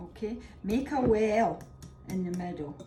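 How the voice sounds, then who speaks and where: A woman speaks with lively intonation. Noticeable background noise sits behind her. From Scotland. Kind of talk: cooking demonstration.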